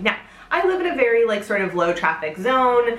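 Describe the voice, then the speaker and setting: A woman speaks at a very fast pace. Background noise is noticeable behind her. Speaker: home sewist. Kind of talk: casual talk to camera.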